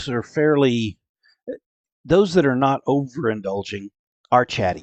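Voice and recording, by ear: With a quiet background behind them, someone is reading aloud in a natural voice.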